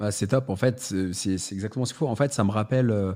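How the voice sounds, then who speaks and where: Fairly low male voice with a dark, mellow tone and ordinary pitch variation, on a very clean recording with a silent background. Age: 30s. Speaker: entrepreneur and content creator. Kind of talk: casual podcast interview.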